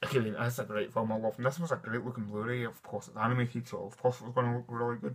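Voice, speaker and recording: A man is speaking. He has a Scottish accent. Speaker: film collector and reviewer. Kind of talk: casual talk to camera. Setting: dimly lit room at home. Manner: enthusiastic.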